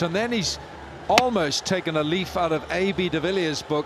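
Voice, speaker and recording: A man speaks in a Welsh accent at a high pitch. His pace is moderate, with noticeable background noise. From Wales. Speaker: cricket commentator. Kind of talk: live commentary. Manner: animated.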